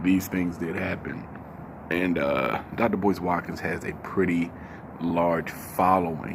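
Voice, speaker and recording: A man speaks quietly at a very slow pace, his pitch very deep and low. His intonation stays fairly even amid noticeable background noise and audible room echo. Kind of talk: casual commentary vlog. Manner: quiet, voice kept down; halting, many fillers.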